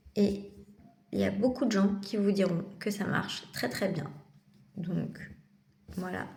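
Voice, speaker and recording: Very slow speech with long, frequent pauses and ordinary pitch variation comes through noticeable background noise and audible room echo. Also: woman, medium pitch for a woman. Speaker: vlogger and psychiatric patient. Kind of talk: casual vlog monologue. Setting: in a psychiatric clinic.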